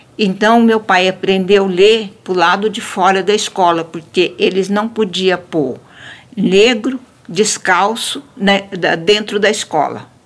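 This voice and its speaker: Against noticeable background noise, a woman speaks at a very slow pace in a medium pitch with ordinary pitch variation. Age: 70s. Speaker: elderly woman telling her life story. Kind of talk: storytelling.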